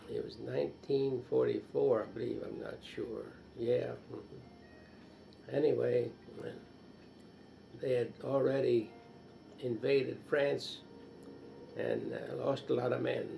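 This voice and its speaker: A man speaks at a very slow pace with long, frequent pauses, while music plays in the background and the room echo is audible. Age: 80s+. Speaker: war veteran. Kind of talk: interview. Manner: halting.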